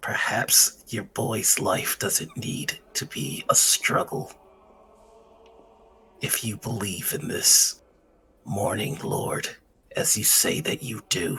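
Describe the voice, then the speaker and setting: Using a put-on character voice at medium pitch, a man talks at a very slow pace with long, frequent pauses. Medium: actual play. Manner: calm, solemn.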